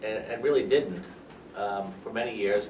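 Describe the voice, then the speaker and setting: A man speaks with an American accent, and audible room echo surrounds his voice. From New York. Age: 60s. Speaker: lawyer. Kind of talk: interview.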